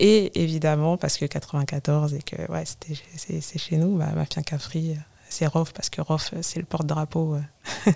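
In a very deep, low pitch, a woman speaks at a very slow pace with a dark, mellow tone that is somewhat breathy. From Paris suburbs (Val-de-Marne, 94), Comorian family. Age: 30s. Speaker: digital collage artist and fashion stylist. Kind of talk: casual interview.

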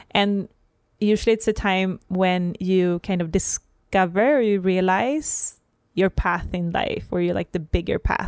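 A woman with a Swedish accent speaks at a fairly slow pace with ordinary pitch variation, in a dry, close sound with no echo and a very clean recording with a silent background. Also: medium pitch for a woman. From Sweden. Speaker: podcast host and holistic coach. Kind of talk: casual conversational podcast chat.

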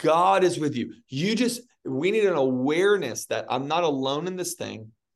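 This man's voice sits fairly high and carries a creaky vocal fry. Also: quiet background. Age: 30s. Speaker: pastor and author. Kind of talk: interview.

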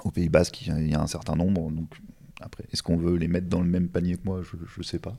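A man at a very fast pace, with a very deep, low pitch, dark, mellow tone and fairly even intonation. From Normandy, France. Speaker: strongman and stone lifting athlete. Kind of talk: casual interview chat. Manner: hesitant, many fillers.

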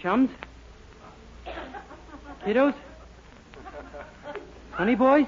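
In a put-on character voice pitched extremely high, a man talks at a very slow pace with a slightly husky edge and ordinary pitch variation.

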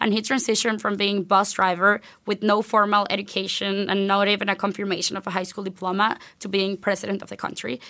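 Her tone is bright and sharp. The woman speaks at a fairly quick pace. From Venezuela. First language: Spanish. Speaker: university student. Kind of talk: interview.

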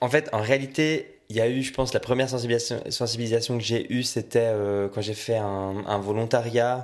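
A man with an ordinary speaking voice talks at a moderate pace and a medium pitch. His intonation is fairly even, over a very clean recording with a silent background. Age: 20s. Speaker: student guest. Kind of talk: casual chat.

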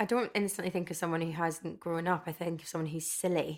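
Talking at a fairly quick pace, a woman with a Glasgow accent uses a fairly low pitch on a very clean recording with a silent background. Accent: Scottish (Glasgow). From Scotland, Stirling and Glasgow. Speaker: panel guest. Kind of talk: casual chat.

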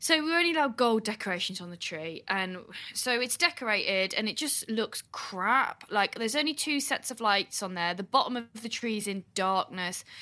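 With an English accent, a woman talks with hardly any pauses, her fairly high pitch carrying lively intonation and a bright, sharp tone. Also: moderate pace. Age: 20s. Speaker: podcast co-host. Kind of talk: casual chat. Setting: video call.

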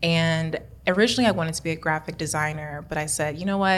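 A very fast woman's voice, very deep and low, in an American accent with fairly even intonation. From US Midwest, Kansas City. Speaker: chemistry PhD student. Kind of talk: interview.

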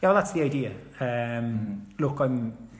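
The speaker talks at a fairly quick pace in a Cork accent. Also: man. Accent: Cork Irish. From Cork, Ireland. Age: 30s. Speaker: retired footballer and coach. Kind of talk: casual interview chat.

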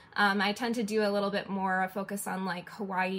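In an American accent, a woman talks at a medium pitch with monotone, flat intonation. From Detroit, US. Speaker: illustrator. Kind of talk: interview.

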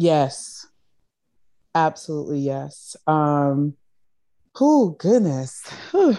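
With an American accent, a woman with a very deep, low pitch talks in an animated tone with ordinary pitch variation and long, frequent pauses against a quiet background. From US South, Charleston, South Carolina. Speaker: makeup artist. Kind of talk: interview.

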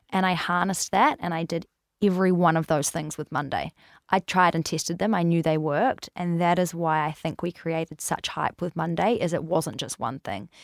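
In a normal speaking voice, a woman talks at a fairly quick pace with fairly low pitch and ordinary pitch variation. The sound is dry and close with no echo, and the recording is very clean with a silent background. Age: 20s. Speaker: hair care brand founder. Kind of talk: casual chat.

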